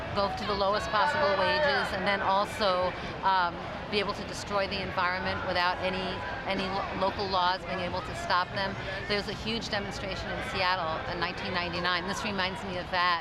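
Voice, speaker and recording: The speech runs at a fairly quick pace over crowd noise in the background. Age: 60s. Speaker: protest participant. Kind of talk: interview.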